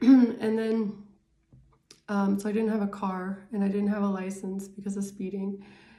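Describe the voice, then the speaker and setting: A woman speaks at a moderate pace and medium pitch in a monotone, flat intonation with a dark, mellow tone. Room echo is audible. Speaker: tarot reader. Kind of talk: casual tarot reading monologue. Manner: hesitant, many fillers.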